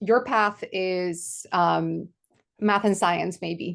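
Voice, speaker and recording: Against a quiet background, a woman speaks at a medium pitch. Her intonation stays fairly even. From Poland. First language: Polish. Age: 40s. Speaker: podcast co-host. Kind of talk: casual chat.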